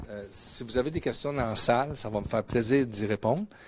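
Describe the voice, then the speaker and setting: The speaker has a Quebec accent. The intonation stays fairly even. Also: man. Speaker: mining company executive and geologist. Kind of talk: conference presentation. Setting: conference room with audience, webcast. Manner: hesitant, many fillers and repetitions.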